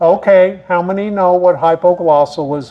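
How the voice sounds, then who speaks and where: The man's voice sits high in pitch, and noticeable background noise is present. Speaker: horticulture speaker. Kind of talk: lecture. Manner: animated.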